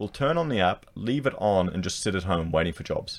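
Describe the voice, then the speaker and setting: A very deep, low-pitched man with an Australian accent at a fairly quick pace, in a very clean recording with a silent background. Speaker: YouTuber and architect. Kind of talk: solo commentary video. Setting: screen-share recording. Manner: casual, repetitive.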